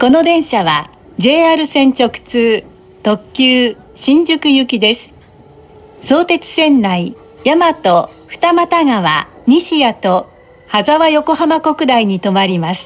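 At a very slow pace, the voice moves through very wide pitch swings. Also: woman, high pitch for a woman. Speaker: train announcement voice. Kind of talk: recorded train announcement. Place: train.

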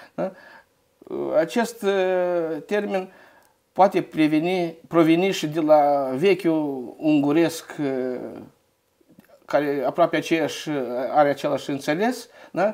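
A man's fairly high voice at a very slow pace, with long, frequent pauses, ordinary pitch variation and a quiet background. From Moldova, Căpriana; Moldova. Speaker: local history researcher; guest. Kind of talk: interview. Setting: studio. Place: studio. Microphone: lapel.

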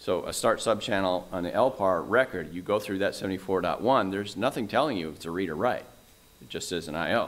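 This man has an unremarkable speaking voice with a fairly low pitch and ordinary pitch variation. His loudness swings widely. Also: moderate pace. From Canada. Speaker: conference speaker, storage technology presenter; conference speaker, presenter. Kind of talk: conference presentation. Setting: stage with audience. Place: hall.

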